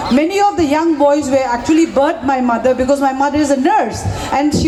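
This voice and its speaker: High pitch from a woman, with audible room echo and noticeable background noise. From Manipur, northeast India. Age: 50s. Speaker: violence survivor. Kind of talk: testimony. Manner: halting.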